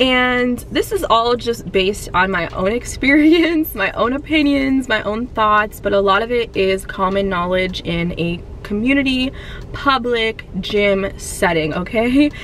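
Delivery is fairly slow with lively intonation. The sound is dry with no echo, with light background noise. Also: woman. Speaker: fitness vlogger. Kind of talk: casual vlog chat. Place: car. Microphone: phone near.

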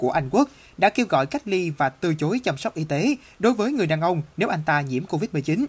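Set on a very clean recording with a silent background, the talking proceeds at a moderate pace. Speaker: news reporter. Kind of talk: news reading.

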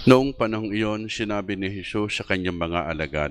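This man has a normal speaking voice. His pitch is fairly low, with ordinary pitch variation. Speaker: priest. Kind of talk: mass, homily and liturgical prayer; liturgical prayer and gospel reading. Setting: church. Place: church. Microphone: handheld.

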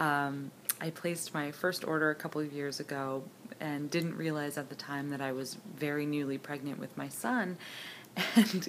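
Over light background noise, a woman with a very deep, low voice speaks at a moderate pace with fairly even intonation. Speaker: candle and wax melt enthusiast, scent review contest entrant. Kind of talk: casual talk to camera, product review. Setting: home, with appliances running in the background. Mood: warm, enthusiastic. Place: home room. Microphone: phone near.

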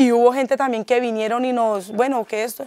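A woman speaks fairly quickly at a high pitch in a monotone, flat intonation. The sound is dry with no echo. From Colombia, Huila (born in Neiva, rural upbringing); Huila, Colombia. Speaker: peasant community activist. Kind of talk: documentary interview testimony. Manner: halting, repetitive. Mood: earnest, concerned. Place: kitchen. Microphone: lapel.

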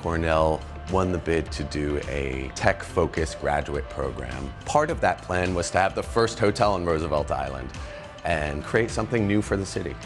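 A man's very deep, low voice at a moderate pace, with clear music in the background. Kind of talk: interview answer. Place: bar.

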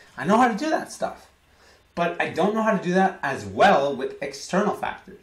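An animated man with an American accent, high pitch, lively intonation and moderate pace, with audible room echo. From United States. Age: 20s. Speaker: vlogger. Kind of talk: vlog monologue. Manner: repetitive. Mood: emotional, candid about struggles. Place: home room. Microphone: webcam.

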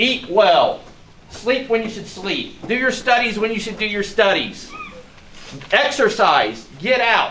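A man's raised, projected voice, high in pitch for a man, with ordinary pitch variation at a fairly slow pace over light background noise. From US Midwest. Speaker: sheriff's deputy. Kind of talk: public speech. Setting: outdoors. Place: garage. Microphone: camera far.

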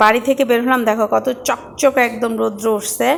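Over noticeable background noise, a woman talks in a high pitch with a flat, monotone delivery. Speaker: vlogger. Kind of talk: vlog narration. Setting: outdoors, self-filmed.

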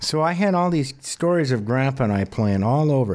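This man has a normal speaking voice, medium in pitch, with an American accent and lively intonation. He talks at a moderate pace on a very clean recording with a silent background. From Montana, US. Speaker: country songwriter and singer. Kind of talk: interview. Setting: studio.

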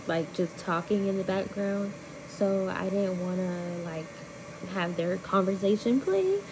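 A woman speaks over noticeable background noise. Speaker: vlogger. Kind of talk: casual vlog voice-over.

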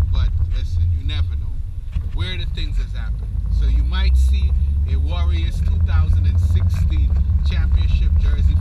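Loud background noise sits behind a man's voice. He speaks at a moderate pace with ordinary pitch variation. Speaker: vlogger. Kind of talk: casual vlog chat. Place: car.

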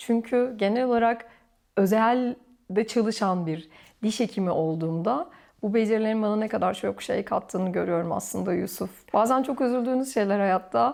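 A normal speaking voice from a woman, fairly high in pitch, with lively intonation at a moderate pace over a quiet background. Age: 40s. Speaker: orthodontist. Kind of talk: casual interview chat. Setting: at home, filmed.

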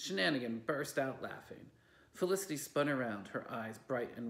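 Lively intonation in plain reading aloud

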